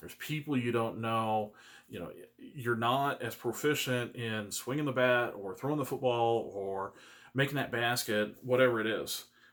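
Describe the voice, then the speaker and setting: With big swings in loudness, a man talks at a medium pitch and with fairly even intonation. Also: moderate pace. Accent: American. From Kansas City area, US Midwest. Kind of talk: personal video monologue. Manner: halting, repeats words.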